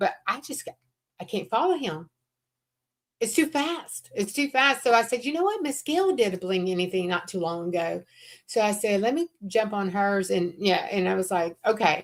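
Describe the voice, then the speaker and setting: Speaking at a moderate pace with a Southern accent, a woman at medium pitch makes very wide pitch swings. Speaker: crafter co-hosting a craft livestream. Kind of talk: casual chat.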